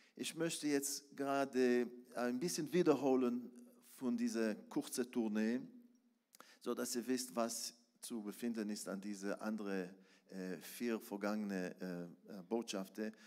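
A man with an Israeli accent talks at a very slow pace, leaving long, frequent pauses. His medium-pitched voice has a dark, mellow tone and ordinary pitch variation. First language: Hebrew (speaking German). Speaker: preacher. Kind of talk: sermon. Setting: church.

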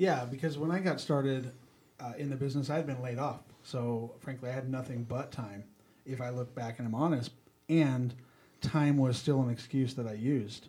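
Male speech in an ordinary speaking voice at medium pitch, moderate pace, and fairly even intonation. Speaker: senior real estate investor. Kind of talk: casual chat.

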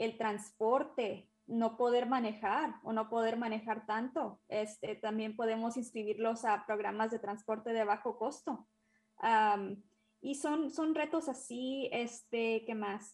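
A woman's somewhat breathy, fairly high voice with fairly even intonation at a very slow pace. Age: 20s. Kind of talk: interview.

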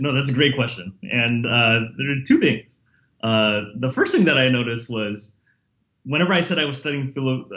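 The speaker talks at a fairly quick pace with a Californian accent. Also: man. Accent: Californian American English. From San Jose, California (US). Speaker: history professor. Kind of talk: interview. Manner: halting, many fillers and repetitions.

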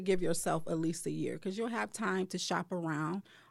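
A woman's fairly low voice with vocal fry and an American accent, in a very clean recording with a silent background. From Detroit, Michigan. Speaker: bridal shop owner. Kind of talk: casual interview.

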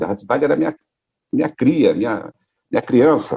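Vocal fry runs through this man's dark, mellow tone, and his pitch swings very widely. The sound is dry and close, with no echo. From Brazil, Rio de Janeiro. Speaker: radio founder and former broadcaster. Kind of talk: interview, casual reminiscing.

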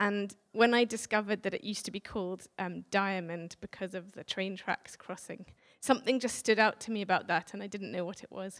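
With an English accent and fairly even intonation, the speaker moves at a fairly quick pace with hardly any pauses and big swings in loudness, the sound dry and close with no echo. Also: woman, medium pitch for a woman. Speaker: visiting speaker sharing a prophetic word. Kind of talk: church address. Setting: church with audience.

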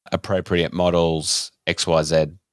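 Recorded very cleanly with a silent background and a dry, close sound with no echo, a man speaks with an Australian accent in a very deep, low pitch. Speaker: podcast host. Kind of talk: casual chat.

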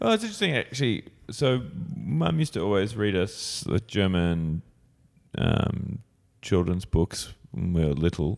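With an Australian accent and a very deep, low pitch, a man talks at a moderate pace with lively intonation and very even loudness, in a very clean recording with a silent background. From Australia, Sydney. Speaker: improv comedian and teacher. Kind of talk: casual chat.

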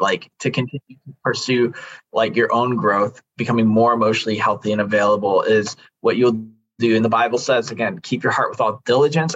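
A man with an unremarkable speaking voice talks fairly quickly, his pitch in the medium range. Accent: American. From Chicago area, US Midwest. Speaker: men's coach and consultant. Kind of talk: personal testimony in interview.

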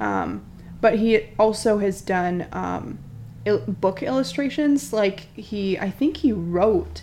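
Vocal fry runs through a woman's speech, which has ordinary pitch variation. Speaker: podcast co-host. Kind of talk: casual chat, comedic banter.

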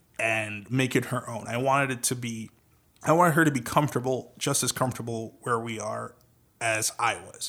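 A man talks with an American accent in a bright, sharp tone. The recording is very clean, with a silent background. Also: medium pitch for a man, moderate pace. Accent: Trinidadian, with a developed American. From Trinidad and Tobago. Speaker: podcast host, voice-over artist. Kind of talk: casual chat.

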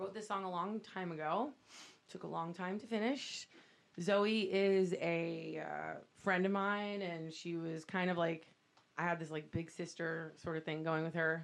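Over a quiet background, a woman with an American accent speaks in an ordinary speaking voice. She is fairly low in pitch, fairly slow, and fairly even in intonation. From Miami, Florida. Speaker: singer and musician. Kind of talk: casual chat.

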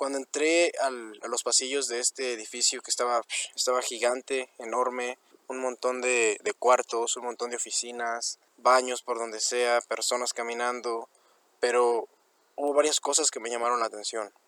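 Speaking fairly quickly with a Mexican accent, a man uses a medium pitch, a bright, sharp tone, and monotone, flat intonation, recorded dry and close with no echo. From Mexico. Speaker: college student. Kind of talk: personal story reading.

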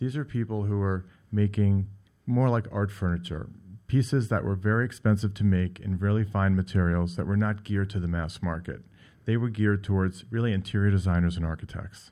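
On a very clean recording with a silent background, a man with a fairly low pitch and a dark, mellow tone talks fairly quickly with fairly even intonation. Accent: American. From New York. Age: 50s. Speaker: furniture gallery owner and designer. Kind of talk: radio interview.

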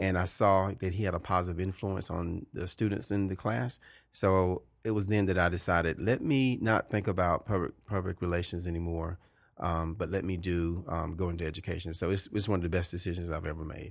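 A man with a Georgia accent talks at a fairly quick pace in a very deep, low pitch, his intonation fairly even against a quiet background. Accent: Southern American (Georgia). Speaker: high school principal. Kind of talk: interview conversation. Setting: principal's office.

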